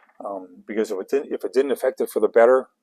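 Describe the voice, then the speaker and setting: The recording is dry and close, without echo. It's a man talking. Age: 60s. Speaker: comic artist and illustrator. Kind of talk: livestream painting demo with Q&A. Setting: home studio livestream. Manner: halting, many fillers and repetitions.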